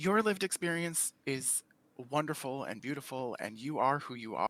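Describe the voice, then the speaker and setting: A man with a fairly high pitch and lively intonation speaks at a moderate pace. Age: 40s. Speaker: panel guest in LGBTQ discussion. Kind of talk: casual discussion. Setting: live stream video call. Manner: animated.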